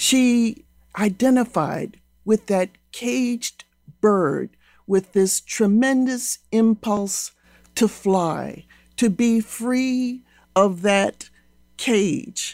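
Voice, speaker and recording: Long, frequent pauses break up a very slow pace. The woman's pitch is fairly high. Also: ordinary pitch variation, dry, close sound with no echo. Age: old. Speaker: literature professor. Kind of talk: interview.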